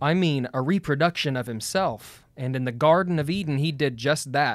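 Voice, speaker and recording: An unremarkable speaking voice from a man, moderate in pace, with ordinary pitch variation, on a very clean recording with a silent background. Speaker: continuationist debate partner. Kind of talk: casual debate chat.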